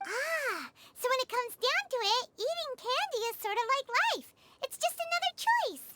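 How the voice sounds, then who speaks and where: This put-on character voice is squeaky and extremely high-pitched. It moves at a moderate pace. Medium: video game. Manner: thoughtful, musing.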